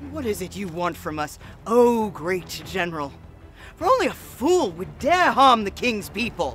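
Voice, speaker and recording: Clear music plays in the background as a man speaks in a high pitch. His pace is moderate and his intonation lively. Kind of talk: solemn eulogy.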